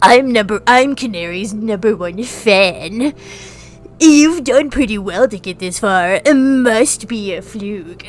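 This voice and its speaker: A woman uses a nasal, put-on character voice with a fairly high pitch. She speaks at a fairly slow pace over faint music in the background. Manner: smug, obsessive.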